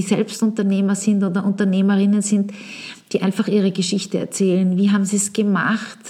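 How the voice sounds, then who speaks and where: The woman's voice sits at a medium pitch. Her tone is dark and mellow, and somewhat breathy. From Vienna, Austria. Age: 40s. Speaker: podcast host, marketing consultant. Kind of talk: solo podcast monologue.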